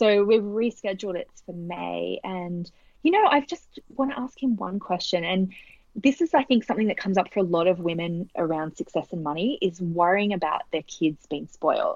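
With an Australian accent, a woman speaks at a moderate pace and medium pitch, her intonation lively and the sound dry and close with no echo. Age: 30s. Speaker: author and business coach. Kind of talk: casual interview chat.

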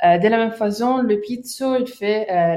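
A woman speaks with an Italian accent and ordinary pitch variation. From Sicily, Palermo. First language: Italian (speaking French). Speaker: anti-mafia association volunteer. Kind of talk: interview. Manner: halting, many hesitations.

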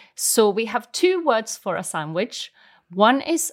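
A woman speaks very slowly with a Swedish accent. Her fairly high voice moves in very wide pitch swings. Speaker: language teacher. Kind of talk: language lesson.

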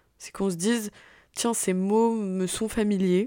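A woman's dark, mellow voice, monotone and flat in intonation, at a fairly slow pace. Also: very clean recording, silent background. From Paris region, France. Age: 20s. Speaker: podcaster, business student. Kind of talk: solo monologue introducing podcast. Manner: hesitant, many fillers.

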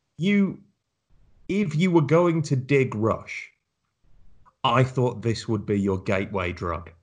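A man with a British accent, medium pitch and a somewhat breathy voice, at a very slow pace with very wide pitch swings, long and frequent pauses, and a quiet background. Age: 30s. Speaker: podcast host. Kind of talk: casual chat.

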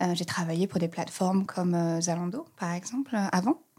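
This is a woman speaking at a medium pitch. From France, Reims. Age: 30s. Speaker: communications manager at an online resale company. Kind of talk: podcast interview. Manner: hesitant, many fillers.

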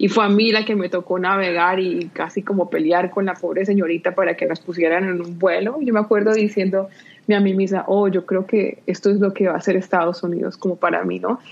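With an unremarkable speaking voice, a woman talks at a fairly quick pace and medium pitch, her intonation fairly even and hardly any pauses. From Colombia, Pereira (paisa region). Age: 30s. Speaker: nonprofit director. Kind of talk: interview.

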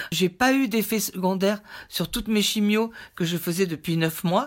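At a fairly slow pace, a woman speaks at a medium pitch on a very clean recording with a silent background. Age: 60s. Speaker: cancer patient. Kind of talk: testimony. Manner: halting.

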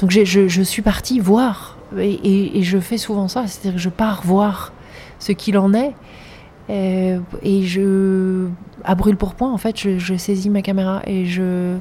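A woman talks very slowly in a medium pitch, her intonation monotone and flat. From grew up in several countries. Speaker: filmmaker and artist. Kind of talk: interview. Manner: halting, frequent repetitions.

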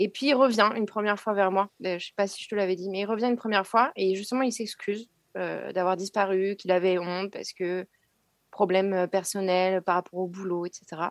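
A normal speaking voice at a moderate pace with fairly even intonation and a dry, close sound with no echo. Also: woman, medium pitch for a woman. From Burgundy, France. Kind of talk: testimony.

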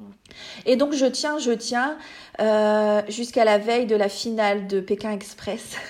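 At a very slow pace with long, frequent pauses, a woman speaks at a fairly high pitch with fairly even intonation. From France, small village. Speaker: pediatric nursing assistant sharing birth story. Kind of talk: testimony. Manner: halting, many fillers and repetitions.

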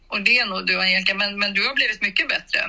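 A woman at medium pitch and a very fast pace, with noticeable background noise. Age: 60s. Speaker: mother of the hosts. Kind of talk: casual chat.

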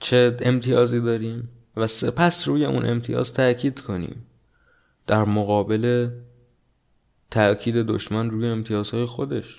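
A man at medium pitch with ordinary pitch variation, fairly slow and given to long, frequent pauses, on a very clean recording with a silent background. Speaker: podcast host. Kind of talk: solo monologue podcast on politics and society. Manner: casual conversational.

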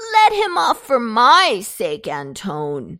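A female-sounding, put-on character voice, fairly high in pitch and whiny, with growling. The pace is very slow. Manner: whining, begging.

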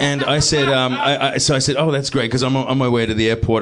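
A man speaks with ordinary pitch variation in a New Zealand accent. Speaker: TV actor. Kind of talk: live comedy podcast chat. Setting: stage with audience.

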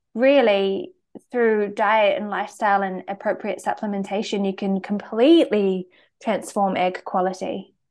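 The speaker has a New Zealand accent. The background is quiet. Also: woman. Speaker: naturopath and medical herbalist. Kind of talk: interview conversation.

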